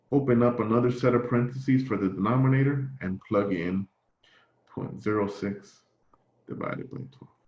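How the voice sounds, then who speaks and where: Medium in pitch, a man speaks in a plain, everyday voice. His pace is moderate and his pitch varies in an ordinary way. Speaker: math instructor. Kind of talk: lecture.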